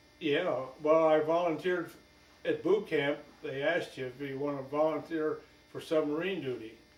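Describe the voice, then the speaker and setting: In a room with audible echo, a man's fairly high voice swings widely in loudness. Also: moderate pace. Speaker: war veteran. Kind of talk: interview. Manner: halting.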